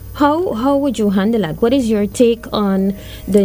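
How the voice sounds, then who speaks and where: The woman talks fairly slowly. Her words come with noticeable background noise. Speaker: co-producer and guest host. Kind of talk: casual interview chat. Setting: studio.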